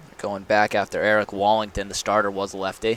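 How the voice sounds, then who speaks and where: A man talks at a fairly quick pace. His pitch is fairly low, and there is noticeable background noise. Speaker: baseball play-by-play announcer. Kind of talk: baseball play-by-play broadcast commentary. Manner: steady, conversational game calling.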